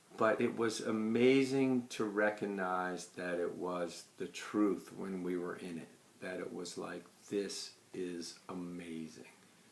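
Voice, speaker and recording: A man's very deep, low voice at a very slow pace, with ordinary pitch variation and audible room echo. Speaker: client giving a testimonial. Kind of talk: testimony.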